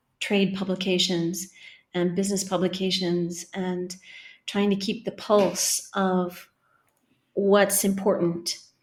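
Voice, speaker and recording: Against a silent background on a very clean recording, a woman speaks very slowly at a medium pitch with monotone, flat intonation. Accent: Californian. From California. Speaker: marketing professor. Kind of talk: interview.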